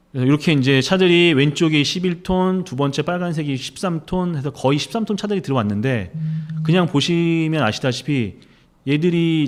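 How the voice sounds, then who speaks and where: Here a man speaks in a fairly high voice at a moderate pace. His intonation is lively, on a very clean recording with a silent background. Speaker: investigative reporter. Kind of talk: interview. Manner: forceful, strong pronunciation.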